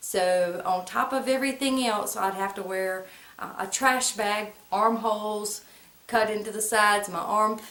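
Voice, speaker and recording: A woman speaks fairly slowly, with audible room echo around her voice. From US South, central North Carolina (Moore and Lee County). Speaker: vlogger. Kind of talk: personal storytelling to camera. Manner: casual, conversational.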